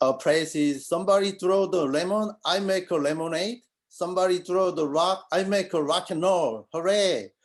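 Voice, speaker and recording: Hardly pausing, a man with a non-native accent talks in a high pitch with ordinary pitch variation. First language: not English. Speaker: college accounting student. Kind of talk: acceptance speech. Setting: video call.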